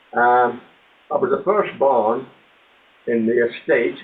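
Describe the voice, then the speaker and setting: With a Limerick accent, a man talks at a fairly slow pace. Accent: Irish (Limerick). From Ireland, Limerick. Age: 80s+. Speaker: author and ex-soldier. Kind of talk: interview storytelling.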